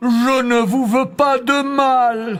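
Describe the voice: A put-on character voice with a fairly high pitch sounds over music in the background.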